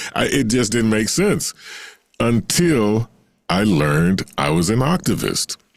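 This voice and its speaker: A man talks with an American accent. His pitch swings very widely. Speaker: singer and voice actor. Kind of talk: interview answer. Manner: hesitant, conversational.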